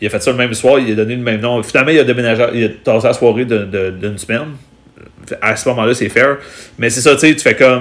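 A man speaks at a very fast pace in a medium pitch with fairly even intonation. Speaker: stand-up comedian. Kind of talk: casual chat.

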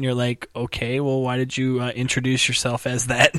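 Over noticeable background noise, a man at a medium pitch speaks at a moderate pace in an animated tone. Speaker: podcast host. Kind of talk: casual comedic chat. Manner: animated, jokey.

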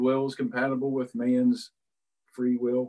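Here a man speaks at medium pitch with an Appalachian accent. His pace is fairly slow, and his pitch variation is ordinary. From West Virginia, Philippi. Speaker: pastor. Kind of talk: interview. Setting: video call from home.

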